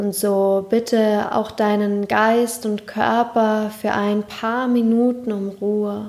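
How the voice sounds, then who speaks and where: A calm, soothing tone at a very slow pace, with monotone, flat intonation and hardly any pauses. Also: woman, fairly high pitch for a woman. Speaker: podcast host and meditation guide. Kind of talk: guided meditation. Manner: slow, calm, soothing, with long pauses; soft-spoken, gentle, warm.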